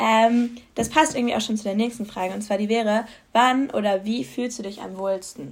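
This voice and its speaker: Somewhat breathy, a woman speaks at a fairly high pitch and a moderate pace with ordinary pitch variation. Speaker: podcast host. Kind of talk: casual chat. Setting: home studio. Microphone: new microphone.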